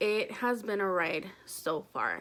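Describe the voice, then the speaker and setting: A woman with a fairly high pitch and a bright, sharp tone speaks with ordinary pitch variation. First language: Spanish. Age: 20s. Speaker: vlogger. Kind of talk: casual vlog talk.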